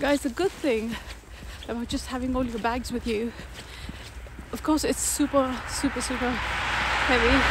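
A woman speaks at a fairly slow pace over noticeable background noise. The sound is dry, with no echo. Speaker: solo traveler vlogger. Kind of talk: casual vlog chat. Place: street. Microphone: phone near.

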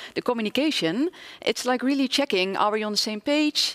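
A woman with an ordinary speaking voice talks at a moderate pace with ordinary pitch variation over a quiet background. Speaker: professor. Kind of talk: interview. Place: stage. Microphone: headset.

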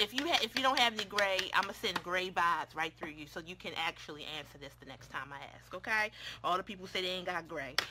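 Over loud background noise, a woman talks in an animated tone at a very fast pace, hardly pausing, with big swings in loudness. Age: 30s. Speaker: beauty YouTuber. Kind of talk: casual makeup tutorial livestream. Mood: playful, chatty. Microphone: phone near.

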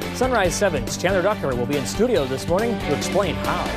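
A man talking at a very fast pace over clear music in the background. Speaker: TV news anchor. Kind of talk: TV news teases. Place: studio.

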